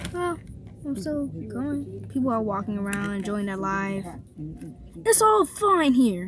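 A woman's fairly slow speech, dry with no echo, over noticeable background noise. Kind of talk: casual play narration. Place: car. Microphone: phone near.

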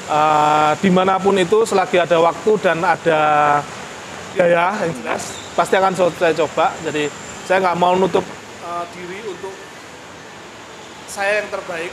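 A man with a high pitch and fairly even intonation, at a fairly slow pace over faint background noise.

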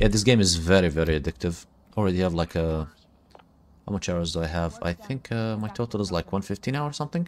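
On a very clean recording with a silent background, a man with a very deep, low pitch talks at a fairly quick pace. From Iraq. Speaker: gaming streamer. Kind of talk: live gameplay commentary. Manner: casual, hesitant with frequent fillers.

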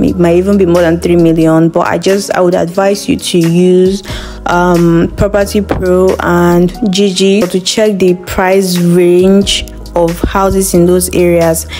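A woman with a fairly low voice speaks fairly slowly in a monotone, flat delivery at very even loudness, with faint music in the background. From Nigeria. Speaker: voice actor. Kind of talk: casual talk to camera. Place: home room. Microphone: phone near.

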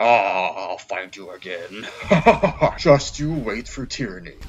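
Fairly slow pace and medium pitch from a man doing a put-on character voice. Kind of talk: comedic gaming parody with character voices. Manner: commanding, pompous.

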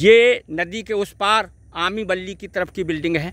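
A man's high-pitched voice, bright and sharp in tone, at a fairly slow pace, with a dry sound and no echo. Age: 60s. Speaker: ayurvedic herb video blogger; plant enthusiast vlogger. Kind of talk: outdoor vlog talk. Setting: outdoors by a river. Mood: regretful, explanatory. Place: waterside. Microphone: phone near.

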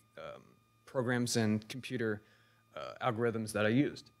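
Keeping a moderate pace, a man with a normal speaking voice talks at medium pitch, his intonation fairly even. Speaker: recent graduate, 3D designer; presenter. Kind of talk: public talk. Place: hall.

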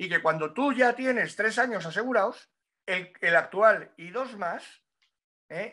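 A man speaks in a raised, projected voice at a fairly slow pace, with lively intonation. Faint music plays in the background. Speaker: motorcycle racing pundit. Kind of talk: casual chat. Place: home room. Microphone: webcam.

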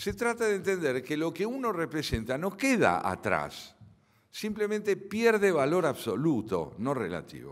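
At a fairly slow pace and with an Argentine accent, the voice swings very widely in pitch over a quiet background. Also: man, high pitch for a man. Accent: Argentine Spanish (Rioplatense). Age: 70s. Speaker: philosopher and lecturer; lecturer. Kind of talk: lecture. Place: hall. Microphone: podium.

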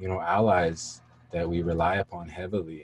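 Low-pitched with a slightly husky edge, a man talks at a moderate pace with little pitch movement.

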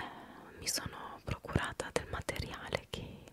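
Over loud background noise, a woman talks at a very slow pace. The sound is dry, with no echo. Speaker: video creator. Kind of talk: soft-spoken casual vlog outro. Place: home room. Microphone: studio mic.

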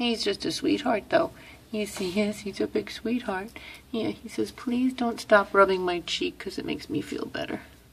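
Her intonation lively, a woman speaks in a somewhat breathy voice. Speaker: animal shelter worker. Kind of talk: casual talk to camera, pet adoption appeal. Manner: affectionate, gushing. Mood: warm, soft, affectionate. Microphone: phone near.

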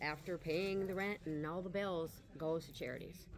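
Against noticeable background noise, a woman with fairly low pitch speaks at a moderate pace. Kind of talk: interview answer. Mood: proud, warm. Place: shop. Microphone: camera far.

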